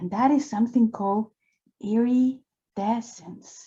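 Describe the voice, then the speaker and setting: A woman with a non-native accent speaks very slowly in a dark, mellow tone that is somewhat breathy. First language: not English. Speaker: drawing instructor. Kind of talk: live drawing tutorial. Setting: live online session. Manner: casual and encouraging.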